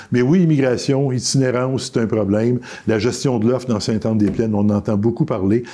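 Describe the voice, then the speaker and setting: A man's medium-pitched voice, dark and mellow, with ordinary pitch variation, very even loudness and a fairly quick pace. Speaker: politician. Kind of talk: interview. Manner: fast.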